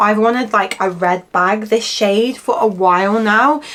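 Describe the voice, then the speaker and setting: In an English accent, a woman speaks at a fairly slow pace with ordinary pitch variation as noticeable background noise carries through. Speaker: fashion youtuber. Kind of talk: casual haul try-on chat. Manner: chatty, with frequent fillers.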